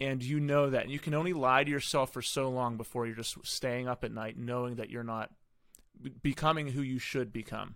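On a very clean recording with a silent background, a man with an ordinary speaking voice talks at a fairly quick pace and medium pitch, his intonation fairly even. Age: 30s. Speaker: podcast host. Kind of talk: casual interview chat.

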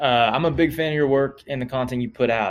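A man with an American accent has an ordinary speaking voice with ordinary pitch variation. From Oklahoma. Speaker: emergency room doctor. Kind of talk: recorded voice question.

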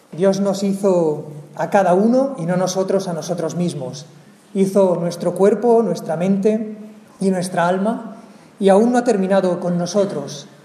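There is noticeable background noise as a man speaks at a high pitch. He goes fairly slowly, with ordinary pitch variation. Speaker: worship leader. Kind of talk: devotional reading. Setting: church.

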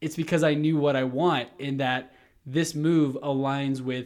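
A man with an American accent, fairly high-pitched for a man, in a flat monotone at a moderate pace. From Texas, Houston. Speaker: real estate agent and podcast host. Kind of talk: interview. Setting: video call.

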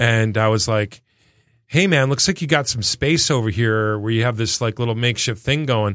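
A man with an American accent at a moderate pace, a normal speaking voice of medium pitch with ordinary pitch variation, on a very clean recording with a silent background. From Michigan, Detroit area. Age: 50s. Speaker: band manager. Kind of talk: casual chat.

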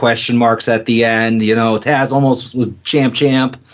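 With an unremarkable speaking voice, a man talks at a medium pitch and moderate pace. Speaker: wrestling podcast co-host. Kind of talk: casual chat. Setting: studio.

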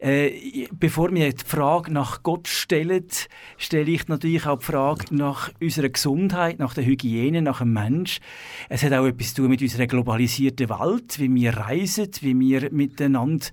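The recording is very clean with a silent background, and the voice shows ordinary pitch variation. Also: man. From Switzerland, city of Zurich. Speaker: abbot of a monastery. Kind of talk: radio interview. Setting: radio studio.

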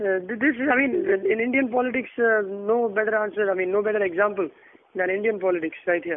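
A man's high-pitched voice at a very fast clip, with very even loudness and ordinary pitch variation. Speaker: podcast host. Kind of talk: casual chat about news.

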